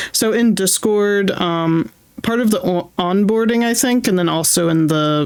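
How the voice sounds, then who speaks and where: A woman speaks at a fairly slow pace in an animated tone with ordinary pitch variation. Noticeable background noise can be heard. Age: 30s. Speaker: streamer. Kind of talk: casual chat.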